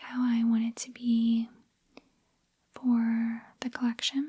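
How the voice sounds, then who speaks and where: At a very slow pace, a soft-spoken voice talks. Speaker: ASMR creator and video game collector. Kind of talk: casual talk to camera.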